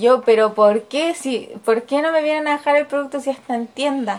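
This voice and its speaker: A high-pitched woman in a Chilean accent, with lively intonation at a moderate pace. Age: 20s. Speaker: educational psychologist. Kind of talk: interview answers.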